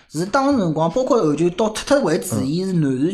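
Someone with a Shanghainese accent talks at a fairly quick pace over noticeable background noise. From Shanghai, Nanshi district. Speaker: guest sharing local memories. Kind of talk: casual chat.

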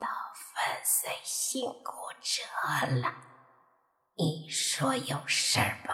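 In a put-on character voice that is raspy and hoarse, the speaker talks at middle pitch and a very slow pace, with long, frequent pauses. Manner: joking, playful.

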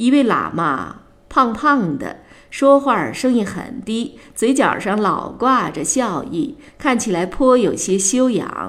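A woman with vocal fry and a fairly high pitch speaks very slowly, her intonation lively. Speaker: audiobook narrator. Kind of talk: literary audiobook reading, narrating novel text with character dialogue. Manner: measured, storytelling pace with gently wry, expressive character voices.

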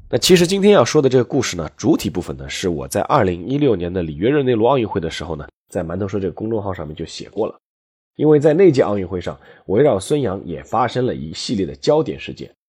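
Against a quiet background, a man with a fairly low pitch talks at a very fast pace, with very wide pitch swings and big swings in loudness. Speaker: history podcast host, former sports journalist. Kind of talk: storytelling monologue. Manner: conversational, many filler particles.

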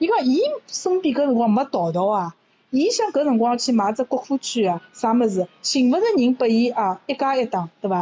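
Her high-pitched voice swings very widely in pitch while the woman keeps a moderate pace and very even loudness. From Shanghai. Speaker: university lecturer. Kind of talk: casual chat in Shanghainese.

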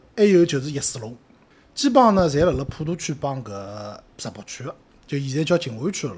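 A man in a Shanghainese accent with very wide pitch swings. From Shanghai, Putuo district. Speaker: podcast co-host. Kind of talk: casual chat.

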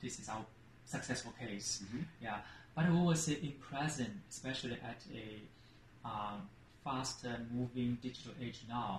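In a Chinese accent, the speaker goes at a fairly slow pace with ordinary pitch variation and long, frequent pauses. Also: man, medium pitch for a man. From China (Shanghai). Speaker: marketing executive. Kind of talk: interview conversation.

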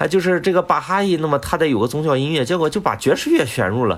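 Noticeable background noise runs beneath a man whose speech comes very fast. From Shandong, China. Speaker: music doctoral student and flutist. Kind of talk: casual interview chat.

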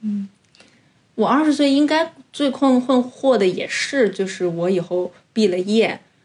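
A woman talks in a fairly high pitch, her voice somewhat breathy. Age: 30s. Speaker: podcast co-host. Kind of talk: casual chat.

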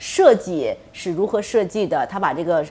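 Woman's voice with noticeable background noise. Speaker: aviation company executive and pilot. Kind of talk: interview on radio talk show. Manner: hesitant with many fillers.

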